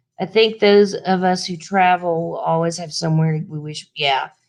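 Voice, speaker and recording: A woman with a Southern US accent speaks at a fairly slow pace. Her pitch is medium, and the background is quiet. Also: big swings in loudness. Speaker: travel vlogger. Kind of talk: live stream Q&A chat. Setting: live stream. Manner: casual, halting.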